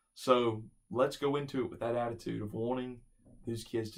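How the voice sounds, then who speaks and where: A man with a plain, everyday voice speaks at a medium pitch. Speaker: church youth event organizer. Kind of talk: training video instructions.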